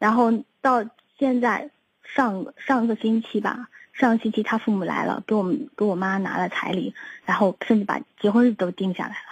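Against a quiet background, a somewhat breathy woman with a fairly high pitch talks with ordinary pitch variation in a dry, close sound with no echo. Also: moderate pace. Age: 30s. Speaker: caller seeking relationship advice. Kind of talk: phone-in advice call. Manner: halting, repetitive.

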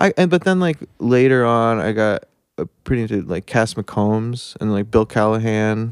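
In an ordinary speaking voice, a man with an American accent speaks at a medium pitch and moderate pace with ordinary pitch variation, the sound dry and close with no echo on a very clean recording with a silent background. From New Jersey (Denville area). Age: 30s. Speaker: singer-songwriter. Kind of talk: casual chat.

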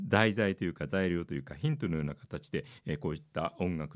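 A man talks at a very fast pace with vocal fry. His pitch is very deep and low. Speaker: radio DJ and podcast host. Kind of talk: solo chart-review monologue.

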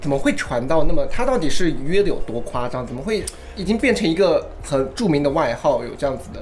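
A man's voice with big swings in loudness over music in the background. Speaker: podcast host. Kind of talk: casual chat.

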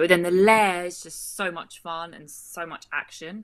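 In a British accent, a woman talks at a fairly low pitch with a bright, sharp tone. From Britain. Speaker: actress and film producer. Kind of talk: casual interview.

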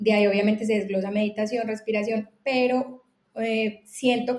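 With an unremarkable speaking voice, a woman talks at a fairly quick pace in a fairly high pitch and fairly even intonation. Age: 30s. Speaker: entrepreneur. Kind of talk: casual chat.

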